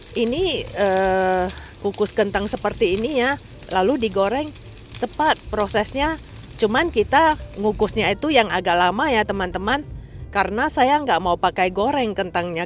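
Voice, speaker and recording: Lively intonation at a moderate pace. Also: woman. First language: Mandarin or English (speaking Indonesian). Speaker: cooking vlogger. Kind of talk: cooking tutorial. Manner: halting, with fillers; casual, friendly.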